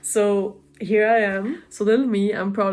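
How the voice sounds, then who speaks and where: A woman's monotone, flat delivery with a German accent. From Germany or German-speaking region. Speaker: vlogger. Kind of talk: casual vlog monologue. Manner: hesitant, many fillers.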